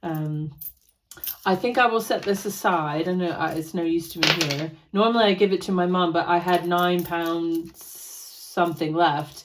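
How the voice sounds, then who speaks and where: A woman speaks in a plain, everyday voice with an American accent. Her pitch is fairly low and her intonation fairly even, at a moderate pace. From United States. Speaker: personal finance vlogger. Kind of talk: casual vlog chat.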